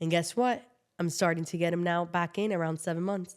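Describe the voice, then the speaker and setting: A woman with a Miami accent speaks at a fairly low pitch. The recording is very clean, with a silent background. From Miami, Florida (Cuban-born). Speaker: immigration lawyer. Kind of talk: casual chat.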